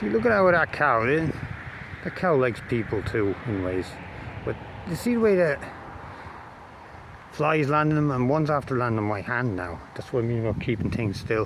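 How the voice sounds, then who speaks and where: With an Irish accent and a medium-pitched voice, a man speaks at a moderate pace with lively intonation and long, frequent pauses, against noticeable background noise. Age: 40s. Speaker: amateur videographer. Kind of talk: casual vlog monologue. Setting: outdoors. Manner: halting.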